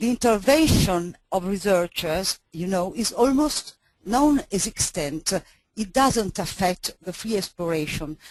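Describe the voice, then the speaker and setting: Speaking at a fairly slow pace, a woman uses lively intonation in a medium pitch. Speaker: market researcher. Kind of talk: webinar presentation.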